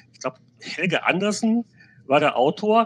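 A man speaks at a moderate pace. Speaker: games journalist. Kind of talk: casual chat. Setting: video call.

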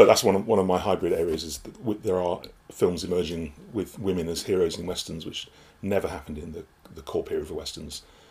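A man with a very deep, low pitch talks at a very fast pace with fairly even intonation. His voice is somewhat breathy, and his loudness swings widely. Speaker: film studies student. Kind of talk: casual chat.

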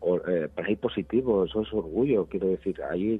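This man has a fairly low pitch and ordinary pitch variation. He talks at a moderate pace. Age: 50s. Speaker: HIV activist, director of an HIV organization. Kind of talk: radio interview. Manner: halting, with frequent fillers.

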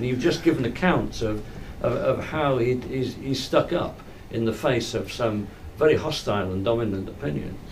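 This man speaks at a moderate pace with lively intonation. Background noise is noticeable. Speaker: audience member asking question. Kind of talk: Q&A comment.

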